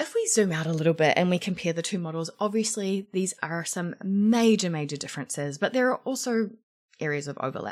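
The speaker has a New Zealand accent and an animated, energetic tone with lively intonation at a fairly quick pace. The recording is very clean with a silent background. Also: woman, medium pitch for a woman. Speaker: podcast host and career coach. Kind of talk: solo podcast monologue.

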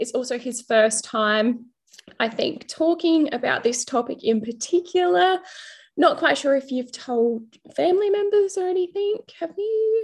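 With an Australian accent, a woman speaks at a fairly slow pace. Her high voice swings very widely in pitch. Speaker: podcast host. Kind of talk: casual interview chat.

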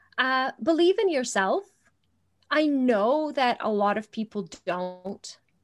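On a very clean recording with a silent background, a woman with a high pitch speaks at a very slow pace with very wide pitch swings. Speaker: parenting coach and business trainer. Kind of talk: interview.

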